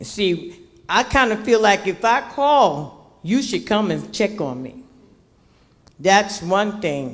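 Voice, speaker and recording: A woman with an American accent speaks very slowly at a medium pitch, her voice swinging very widely in pitch and showing vocal fry. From Newark, New Jersey. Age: 70s. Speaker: community resident speaking at public meeting. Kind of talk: public comment at community meeting. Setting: public meeting hall with audience, microphone.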